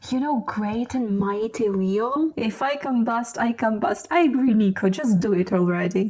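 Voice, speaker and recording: Over noticeable background noise, a woman with a non-native accent speaks at a fairly high pitch and a fairly slow pace, with ordinary pitch variation. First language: not English. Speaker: booktuber. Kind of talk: casual reading vlog. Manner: careful enunciation.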